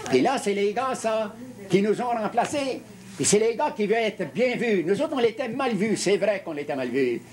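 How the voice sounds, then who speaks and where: Against noticeable background noise, a man with a high voice speaks with lively intonation. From Quebec. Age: 70s. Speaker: retired union leader. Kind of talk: interview. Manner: halting, with many repetitions.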